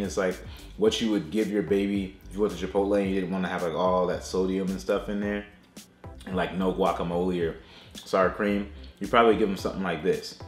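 With faint music behind him and audible room echo, a man talks at a fairly quick pace in a fairly low pitch. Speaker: food reviewer. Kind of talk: casual vlog chat. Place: home room.

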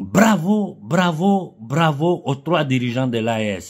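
In a quiet background, a man with a fairly high, somewhat breathy voice makes very wide pitch swings. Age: 50s. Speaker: political commentator. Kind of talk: political monologue. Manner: impassioned. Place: home room. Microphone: phone near.

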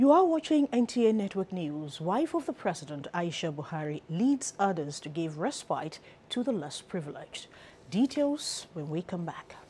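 At a moderate pace, this somewhat breathy voice has a dark, mellow tone and very wide pitch swings. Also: woman. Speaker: news anchor. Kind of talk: news reading. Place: studio. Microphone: lapel.

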